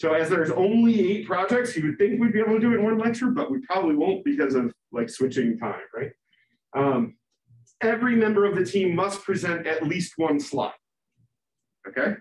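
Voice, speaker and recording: A man talks loudly at a high pitch, with very wide pitch swings. His pace is fairly quick, yet he takes long, frequent pauses. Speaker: university lecturer. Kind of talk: lecture.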